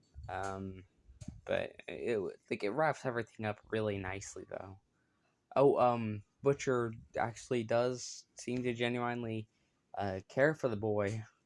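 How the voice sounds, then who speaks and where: A man mumbles at a fairly slow pace in a medium pitch. He leaves long, frequent pauses. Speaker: YouTuber reviewing TV shows. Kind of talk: casual solo video review. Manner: mumbling; hesitant, many filler words.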